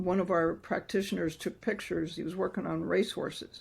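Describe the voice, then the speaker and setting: Using vocal fry, a woman speaks at a moderate pace with a medium pitch and ordinary pitch variation. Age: 70s. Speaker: doctor and microcurrent practitioner. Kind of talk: interview. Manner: animated.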